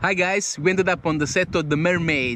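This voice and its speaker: The pace is moderate and the pitch varies in an ordinary way. The sound is dry with no echo, over light background noise. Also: man. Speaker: travel vlogger. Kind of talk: casual vlog chat. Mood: relaxed, upbeat. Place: open country. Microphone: phone near.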